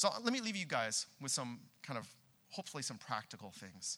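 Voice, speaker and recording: Bright and sharp in tone, a man with a Californian accent speaks at a moderate pace with lively intonation. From Southern California. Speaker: pastor. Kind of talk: sermon. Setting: church with congregation.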